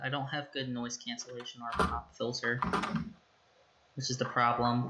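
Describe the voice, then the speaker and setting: Soft-spoken and at a moderate pace, the voice comes through over noticeable background noise. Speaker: esports caster. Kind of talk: live commentary. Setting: livestream. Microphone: quiet mic, no pop filter or noise cancellation.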